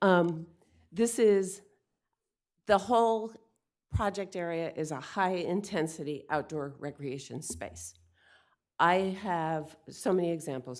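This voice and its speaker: In a very clean recording with a silent background, a woman speaks at a very slow pace with long, frequent pauses and ordinary pitch variation. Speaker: public commenter at city meeting. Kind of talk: public comment. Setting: public meeting. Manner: halting; partly read from notes.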